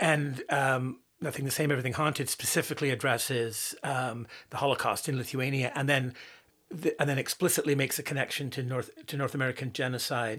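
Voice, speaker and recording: A man at medium pitch, fairly quick and fairly even in intonation. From Canada, born in Northern Ireland. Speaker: writer and musician. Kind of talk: interview conversation. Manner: halting, many fillers.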